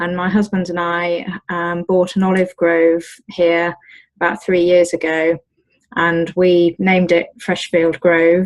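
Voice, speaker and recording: A woman speaks in a British accent at a fairly slow pace. Her fairly low pitch stays monotone and flat. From Britain. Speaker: olive farmer. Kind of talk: interview. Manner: hesitant, many fillers.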